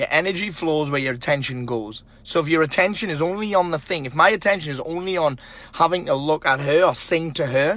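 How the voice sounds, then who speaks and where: This man speaks fairly quickly in a fairly high pitch, with a bright, sharp tone and ordinary pitch variation. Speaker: self-help vlogger, author. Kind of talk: motivational vlog talk.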